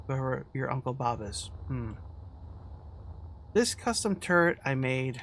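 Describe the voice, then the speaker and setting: A man's medium-pitched voice carries vocal fry and a relaxed tone. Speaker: gaming video creator. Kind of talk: casual gameplay commentary. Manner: relaxed, rambling with fillers.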